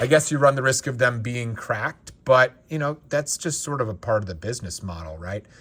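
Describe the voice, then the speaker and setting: In a very clean recording with a silent background, a man talks at a fairly quick pace with hardly any pauses, in an unremarkable speaking voice. His pitch is medium, his intonation lively, and his loudness swings widely. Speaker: Lego reseller and collector YouTuber. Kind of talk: casual unboxing commentary.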